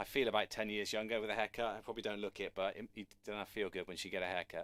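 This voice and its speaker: A man talks at a very fast pace in a bright, sharp tone. The sound is dry and close, with no echo. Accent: British. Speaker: drum teacher. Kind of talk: online live lesson. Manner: casual, conversational.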